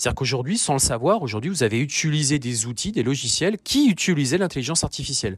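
Somewhat breathy, a man's medium-pitched voice moves with lively intonation. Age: 40s. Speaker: business coach and podcast host. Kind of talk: solo podcast monologue. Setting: outdoors. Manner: hesitant, many fillers.

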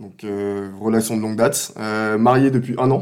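A man talks at a fairly slow pace in a plain, everyday voice. His medium pitch shows ordinary pitch variation. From Ivory Coast until 13, then France. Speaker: podcast guest, new father. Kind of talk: casual chat.

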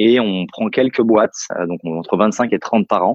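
A man's voice, fairly low in pitch. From Paris suburbs, France. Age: 30s. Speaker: entrepreneur and venture investor. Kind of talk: interview. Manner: halting.

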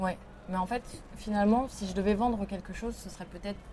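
A woman speaks with fairly even intonation. Noticeable background noise sits behind her. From France, Lyon. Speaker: artist and teacher. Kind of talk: interview. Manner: halting.

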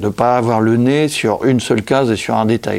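Noticeable background noise runs under this clip. A man talks at a moderate pace and medium pitch. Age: 60s. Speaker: illustrator and comic author. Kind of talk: casual interview. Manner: halting, many repetitions.

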